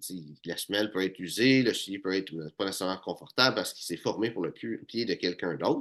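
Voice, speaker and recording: In a quiet background, a man with a Quebec accent speaks at a fairly low pitch with lively intonation. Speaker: menswear style YouTuber. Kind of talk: tutorial. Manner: hesitant with many fillers.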